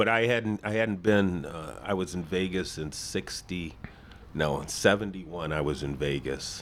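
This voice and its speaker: A man speaks at a very deep, low pitch with ordinary pitch variation. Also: moderate pace. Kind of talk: casual chat. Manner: loud.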